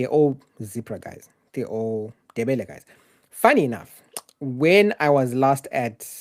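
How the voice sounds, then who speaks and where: A Zimbabwean accent with ordinary pitch variation, on a very clean recording with a silent background. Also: man. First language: Shona. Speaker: journalist. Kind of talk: live Q&A stream. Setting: live stream, solo home setup. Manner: casual.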